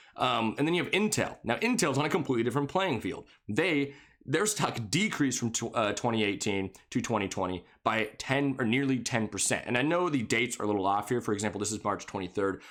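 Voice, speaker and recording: Speaking at a very fast pace with hardly any pauses, a man uses lively intonation on a very clean recording with a silent background. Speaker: finance YouTuber. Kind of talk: stock analysis commentary.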